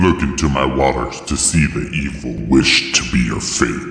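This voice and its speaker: A man puts on a character voice with a very deep, low pitch, speaking at a moderate pace with clear echo. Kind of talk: solemn mythic drama. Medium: audio drama.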